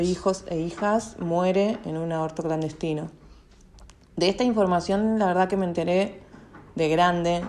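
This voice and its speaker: With a plain, everyday voice, a woman talks at a fairly slow pace, using a fairly low pitch and fairly even intonation. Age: 30s. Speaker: local politician. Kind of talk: testimony.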